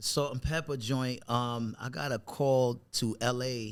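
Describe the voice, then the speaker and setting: On a very clean recording with a silent background, a man with a New York accent speaks in fairly even intonation. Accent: New York accent, noticeable. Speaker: actor. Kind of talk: casual interview chat. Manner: halting, many fillers and restarts.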